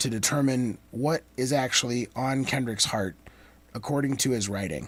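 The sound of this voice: A man with a slightly husky edge speaks at medium pitch and a moderate pace, with ordinary pitch variation.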